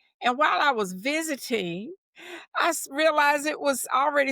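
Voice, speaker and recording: A woman's raised, projected, high-pitched voice with an American accent and a bright, sharp tone, in a dry, close sound with no echo. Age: 70s. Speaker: childcare center director. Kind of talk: interview.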